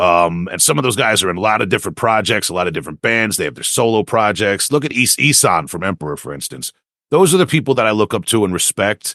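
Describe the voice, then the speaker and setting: A man talks at a very fast pace with hardly any pauses and very wide pitch swings. The sound is dry and close with no echo, over a quiet background. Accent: Long Island. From Long Island, New York. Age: 40s. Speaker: death metal vocalist and lyricist. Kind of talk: interview. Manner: halting, many repetitions and fillers.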